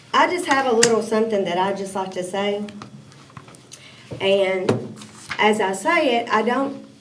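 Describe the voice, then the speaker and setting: Speaking in a Tennessee accent with lively intonation at a moderate pace, this voice leaves long, frequent pauses over audible room echo and noticeable background noise. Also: woman, fairly high pitch for a woman. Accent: Southern US (Tennessee). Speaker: city council member. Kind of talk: committee meeting discussion.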